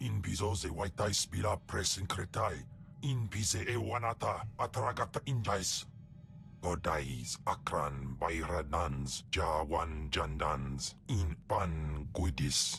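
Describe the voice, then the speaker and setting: Against clear background noise, a man in a put-on character voice speaks at a fairly slow pace with a very deep, low pitch. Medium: video game.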